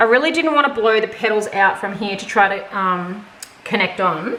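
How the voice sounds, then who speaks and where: A woman speaks in a strong Australian accent with ordinary pitch variation. Noticeable background noise sits behind her. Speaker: fluid art painter. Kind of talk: casual painting tutorial talk to camera. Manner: casual, chatty.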